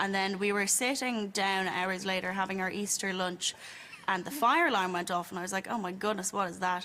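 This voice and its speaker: Speaking at a fairly quick pace, a woman with an Irish accent keeps a medium pitch and fairly even intonation amid noticeable background noise. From Ireland, County Wicklow. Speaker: audience member telling a story. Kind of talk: storytelling anecdote.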